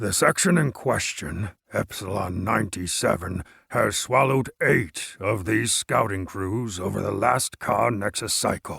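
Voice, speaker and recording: At a moderate pace, a man performs a raspy, put-on character voice. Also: fairly low pitch for a man. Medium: read story. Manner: talkative, gesturing grandly.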